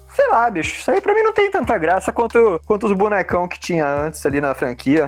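Music plays behind a man who speaks fairly quickly. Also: hardly any pauses. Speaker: comics artist and illustrator. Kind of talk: casual chat.

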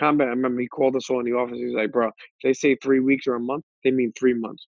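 Speaking very fast in a flat monotone, a man with a New York accent keeps to a medium pitch. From Brooklyn, New York (Coney Island). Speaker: podcaster. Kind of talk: casual interview. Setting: video call.

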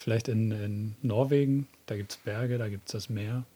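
A man with a dark, mellow tone and medium pitch speaks somewhat breathily, his intonation fairly even, on a very clean recording with a silent background. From southern then northern Germany. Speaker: podcast co-host. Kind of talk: casual chat.

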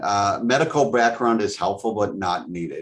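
Here a man with a plain, everyday voice speaks in an American accent at a moderate pace. His pitch variation is ordinary, and the background is quiet. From Wisconsin, US Midwest. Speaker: franchise development director. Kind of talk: interview.

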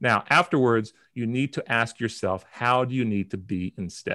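Recorded very cleanly with a silent background, a man with an unremarkable speaking voice talks at a moderate pace and medium pitch, his intonation lively. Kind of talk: guided breathing exercise instruction, tutorial-style. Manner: calm, clear, step-by-step coaching pace.

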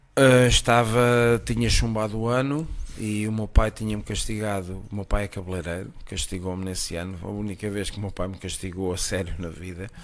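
A man with an ordinary speaking voice talks at a moderate pace in a fairly low pitch, with ordinary pitch variation, big swings in loudness, and hardly any pauses. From Portugal, Costa de Caparica. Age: 50s. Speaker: chef. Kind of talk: casual chat. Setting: at his home.

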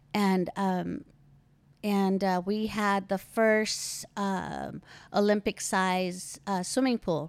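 A woman with an American accent speaks very slowly at a medium pitch, with fairly even intonation and very even loudness, on a very clean recording with a silent background. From Philippines, then California. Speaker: host's mother. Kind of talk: casual interview about her life.

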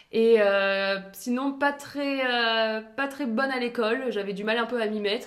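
Here is a woman with a fairly high pitch and an ordinary speaking voice. Her intonation is fairly even. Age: 20s. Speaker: sportswear brand founder. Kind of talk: interview. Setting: brand's new premises.

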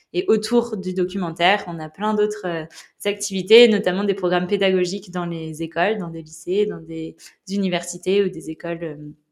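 A woman with a normal speaking voice, medium pitch, fairly even intonation and a moderate pace. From western France, La Rochelle. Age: 20s. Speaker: ocean conservation activist and documentary maker. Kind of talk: casual interview. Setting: at her home in La Rochelle.

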